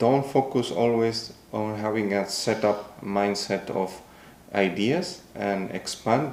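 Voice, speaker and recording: A man's fairly low voice with a Spanish accent, ordinary pitch variation, and audible room echo. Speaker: podcast co-host. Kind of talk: casual chat. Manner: halting.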